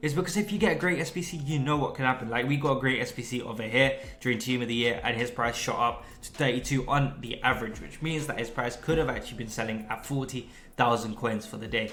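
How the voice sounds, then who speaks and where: A man talks in an animated tone at a very fast pace with hardly any pauses. Audible room echo and noticeable background noise surround him. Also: medium pitch for a man, ordinary pitch variation. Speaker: gaming youtuber. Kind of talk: tutorial.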